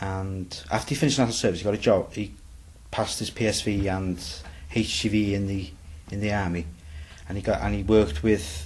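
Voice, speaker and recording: A man with a North Welsh accent speaks fairly quickly at a fairly low pitch, somewhat breathy and with ordinary pitch variation. Long pauses come often. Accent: Bangor Welsh English. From Bangor, north Wales. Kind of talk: interview answer.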